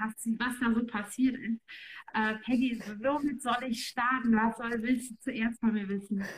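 Monotone, flat intonation at a fairly slow pace. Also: woman, fairly high pitch for a woman. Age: 30s. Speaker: online marketing entrepreneur. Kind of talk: casual interview chat.

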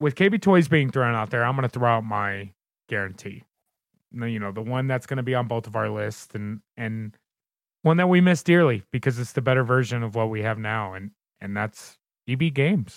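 In an American accent, a man uses a normal speaking voice at medium pitch, talking at a fairly quick pace with lively intonation. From Southern Indiana, near Louisville. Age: 30s. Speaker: podcast host. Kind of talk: casual chat.

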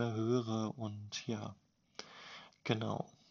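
The man talks at a medium pitch with monotone, flat intonation. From Germany, Bielefeld (East Westphalia). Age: 20s. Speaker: podcaster, salesperson. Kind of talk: casual monologue.

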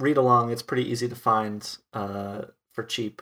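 A man speaks at a medium pitch with fairly even intonation and an American accent. It is an ordinary speaking voice. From US Midwest (rural Wisconsin). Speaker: podcast host. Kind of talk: casual chat.

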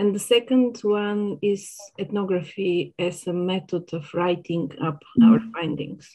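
A woman's medium-pitched voice in a Bulgarian accent, ordinary pitch variation, a fairly slow pace and hardly any pauses. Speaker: sociology academic. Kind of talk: academic interview.

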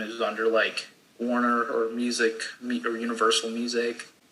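A man speaks over noticeable background noise. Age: 20s. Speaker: college student. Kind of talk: casual chat.

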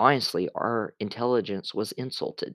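On a very clean recording with a silent background, a man with a normal speaking voice talks fairly slowly with fairly even intonation. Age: 20s. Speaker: wrestling podcast host. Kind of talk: solo podcast recap monologue. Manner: casual, with frequent filler words.

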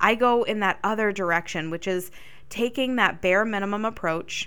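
The recording is very clean, with a silent background. A woman with a bright, sharp tone speaks at a medium pitch and a moderate pace. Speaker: podcast host. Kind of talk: solo podcast monologue. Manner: animated, dynamic; tone and cadence vary with topic.

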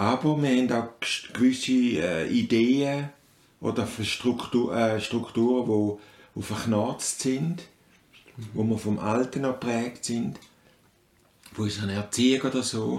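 A man with a Swiss accent speaks at a very slow pace. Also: medium pitch for a man, ordinary pitch variation. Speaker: father of the host. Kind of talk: casual chat. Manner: halting.

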